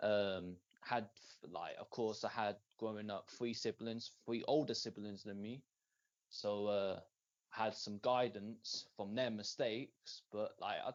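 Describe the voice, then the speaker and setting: A man in an English Midlands accent, medium in pitch, fairly slow and fairly even in intonation. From England, Northamptonshire (Rushden). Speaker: rapper. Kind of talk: interview. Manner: halting, many fillers.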